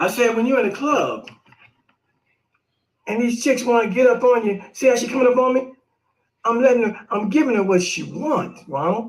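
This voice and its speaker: An animated man's voice, extremely high in pitch, at a moderate pace with ordinary pitch variation and long, frequent pauses. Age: 60s. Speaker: live stream host. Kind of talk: casual commentary. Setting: live video stream.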